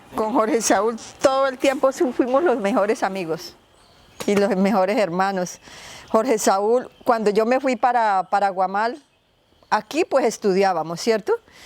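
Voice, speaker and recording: A woman with an unremarkable speaking voice talks at a fairly slow pace, with fairly high pitch and lively intonation. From Colombia, Meta (El Castillo). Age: 60s. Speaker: relative of a disappeared person. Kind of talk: testimony.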